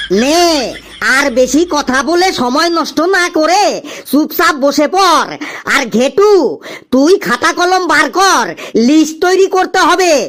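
In a cartoonish character voice, the speaker talks at high pitch and a fairly slow pace. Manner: bantering, fatherly.

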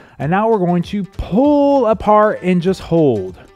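A man speaks while faint music plays in the background. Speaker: fitness instructor. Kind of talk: workout instruction. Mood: upbeat, light joking. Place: studio. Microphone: headset.

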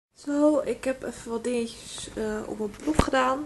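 With ordinary pitch variation, a woman speaks at a fairly slow pace. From Netherlands. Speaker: beauty vlogger. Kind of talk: casual vlog. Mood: relaxed, chatty. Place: home room. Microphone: phone near.

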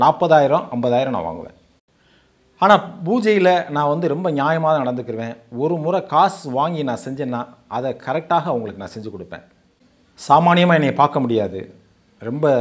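An unremarkable speaking voice from a man, fairly high in pitch, with lively intonation and big swings in loudness. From Tamil Nadu, Sivaganga district; Tamil Nadu. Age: 50s. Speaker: former astrologer. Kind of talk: testimony. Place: home room. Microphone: lapel.

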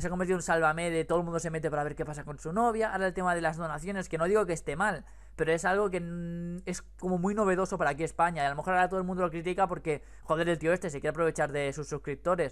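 A man's high-pitched voice at a very fast pace, with hardly any pauses, against a quiet background. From Spain. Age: 20s. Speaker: YouTuber. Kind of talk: casual chat. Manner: animated. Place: home room. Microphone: headset.

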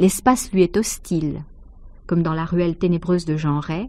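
Speaking at a fairly slow pace, this voice carries a dark, mellow tone. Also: woman. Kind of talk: measured literary essay read aloud, scripted narration. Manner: formal, even, didactic.

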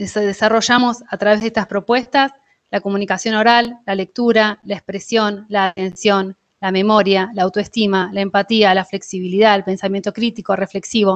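The background is quiet. The intonation stays flat and monotone. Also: woman, moderate pace. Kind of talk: presentation in online meeting. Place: home room. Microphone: video call.

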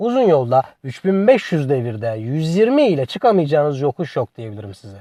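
A man with a fairly high pitch and a dark, mellow tone speaks at a moderate pace with hardly any pauses, against a quiet background. His pitch swings very widely and his loudness shifts in big swings. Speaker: car review YouTuber. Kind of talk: product review narration.

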